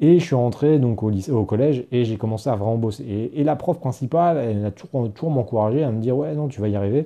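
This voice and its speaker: At a very fast pace, a man talks with hardly any pauses. His medium-pitched voice has lively intonation. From Paris region, France. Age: 30s. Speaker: online entrepreneur and podcaster. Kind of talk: casual monologue, personal story. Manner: conversational, addresses listener as tu; hesitant, frequent fillers and repetitions.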